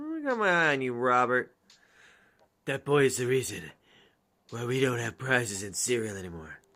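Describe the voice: In a raspy, put-on character voice of medium pitch, a man speaks at a moderate pace with lively intonation and long, frequent pauses.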